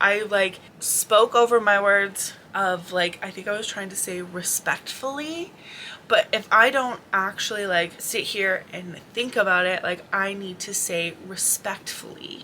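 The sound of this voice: A woman speaks at a fairly slow pace and a medium pitch, with ordinary pitch variation and a bright, sharp tone.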